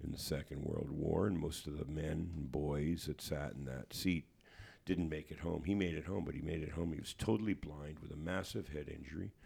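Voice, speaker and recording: Fairly quick man's voice with a Canadian accent, very deep and low in pitch, dark and mellow, with vocal fry and ordinary pitch variation. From Hamilton, Ontario, Canada. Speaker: musician and author. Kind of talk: interview. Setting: studio. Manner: halting.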